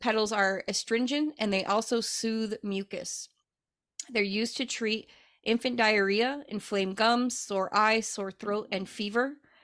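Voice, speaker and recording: A woman speaks in a normal speaking voice, fairly high in pitch, her intonation fairly even. The recording is very clean with a silent background and a dry, close sound with no echo. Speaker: podcast co-host and herbalist. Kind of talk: casual chat.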